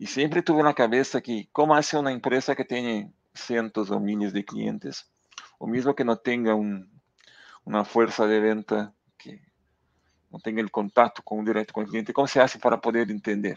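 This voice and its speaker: With a Portuguese accent, a man at medium pitch talks at a moderate pace with ordinary pitch variation and big swings in loudness, recorded dry with no echo against a quiet background. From southern Brazil, near Uruguay border. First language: Portuguese (speaking Spanish). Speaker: data executive; guest. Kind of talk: interview conversation. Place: home room. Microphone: headset.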